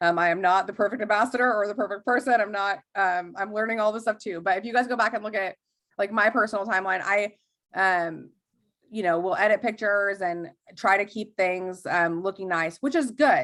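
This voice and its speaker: A woman at a fairly quick pace with ordinary pitch variation, on a very clean recording with a silent background. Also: medium pitch for a woman. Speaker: network marketing trainer. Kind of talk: training talk on a group call. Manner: fast; casual, many fillers.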